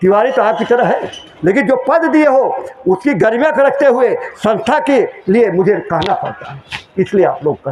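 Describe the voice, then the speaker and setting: Loud and extremely high-pitched, a man speaks with very wide pitch swings over noticeable background noise. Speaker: spiritual preacher. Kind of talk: sermon.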